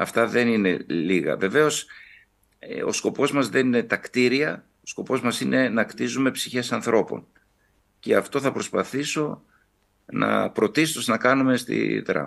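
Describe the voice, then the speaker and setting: The speaker is a man going at a fairly slow pace. The background is quiet. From Kavala, northern Greece; northern Greece. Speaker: Orthodox bishop. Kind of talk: TV interview. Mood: calm, earnest. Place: home room. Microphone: video call.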